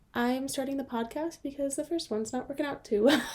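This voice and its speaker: The speaker has a dark, mellow tone and a Californian accent. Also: woman. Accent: Californian American English. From Southern California, South Bay of Los Angeles. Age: 20s. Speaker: podcast co-host and phonics teacher. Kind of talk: casual chat. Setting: podcast recording.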